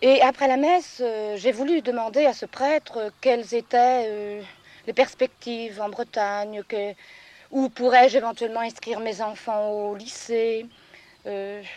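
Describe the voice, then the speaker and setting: Dry and close with no echo, a woman's fairly high voice moves at a fairly slow pace with fairly even intonation and big swings in loudness. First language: regional patois (speaking French). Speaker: farmer. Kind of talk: interview testimony. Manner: hesitant, many fillers.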